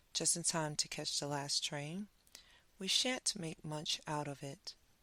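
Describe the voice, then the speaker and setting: A woman speaks at a fairly slow pace in a very deep, low pitch, with ordinary pitch variation. Her tone is bright and sharp, yet also soothing and calm. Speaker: bedtime story reader. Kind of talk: sleep story. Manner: soothing, calm.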